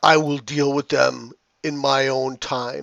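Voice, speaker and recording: A man's put-on character voice at medium pitch and a fairly slow pace over a quiet background. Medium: actual play. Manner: haughty, condescending.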